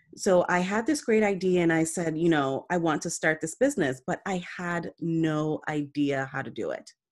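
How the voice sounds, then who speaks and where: In a plain, everyday voice, a woman speaks with an American accent at a fairly low pitch and ordinary pitch variation. She keeps a moderate pace with hardly any pauses, and the recording is very clean with a silent background. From Jamaica, then New York City from age ten. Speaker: entrepreneur and business network founder. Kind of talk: interview.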